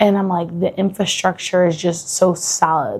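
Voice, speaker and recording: A fairly low-pitched woman with a Buffalo accent. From Buffalo, New York. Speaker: travel vlogger. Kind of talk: casual vlog monologue. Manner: casual, filler-heavy (lots of 'like').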